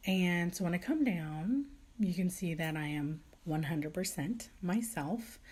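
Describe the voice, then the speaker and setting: A quiet, somewhat breathy woman's voice with a fairly low pitch and lively intonation. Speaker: vlogger. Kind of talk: casual chat. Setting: at home. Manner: quiet, low voice.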